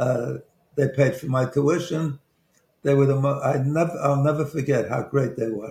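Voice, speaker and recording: Somewhat breathy and dark, mellow in tone, a man with a Brooklyn accent talks at a moderate pace and fairly high pitch with fairly even intonation. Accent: Brooklyn New York, noticeable. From Brooklyn, New York. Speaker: investment banker and author. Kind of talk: radio talk show, life story interview. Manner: halting, hesitant, with fillers and restarts; humorous, self-deprecating.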